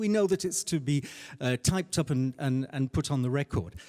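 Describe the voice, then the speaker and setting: This man's voice sits fairly high and his intonation is lively. The sound is dry and close with no echo. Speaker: conference interpreter and interpreter trainer. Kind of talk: panel discussion. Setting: conference panel with audience. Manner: fast; hesitant, many fillers.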